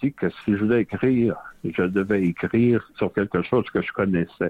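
With a Quebec accent, a man speaks at a moderate pace and a fairly low pitch, with ordinary pitch variation. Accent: Québécois French. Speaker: novelist and retired history professor. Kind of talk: radio interview.

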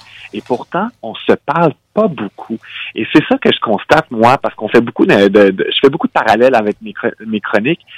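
This man has an unremarkable speaking voice at medium pitch, with lively intonation, big swings in loudness and a moderate pace, recorded with a dry, close sound and no echo. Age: 30s. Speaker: nonprofit director. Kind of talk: radio interview.

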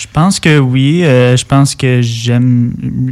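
A man with a Quebec accent, medium-pitched, with fairly even intonation. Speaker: singer-songwriter. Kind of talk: casual interview. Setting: studio. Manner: hesitant.

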